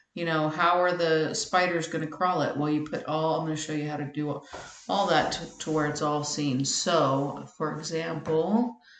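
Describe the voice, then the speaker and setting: Over noticeable background noise and audible room echo, a woman speaks at a moderate pace in a very deep, low voice with ordinary pitch variation. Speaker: web tutorial maker. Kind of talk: tutorial.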